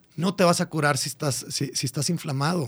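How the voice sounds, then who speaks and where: This man's voice is somewhat breathy and fairly high in pitch, moving at a fairly quick pace. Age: 40s. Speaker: biohacking podcaster and fitness coach. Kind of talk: casual radio interview. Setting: radio studio.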